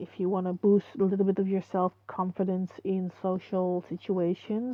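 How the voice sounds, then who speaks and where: A woman with a non-native accent speaks at medium pitch and a moderate pace. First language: not English. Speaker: online video creator. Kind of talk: casual commentary. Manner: halting. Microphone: muffled microphone.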